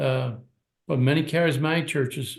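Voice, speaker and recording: A man with a somewhat breathy voice speaks at medium pitch with ordinary pitch variation. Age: 80s+. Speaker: apostle and church leader. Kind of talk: interview. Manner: repetitive, halting.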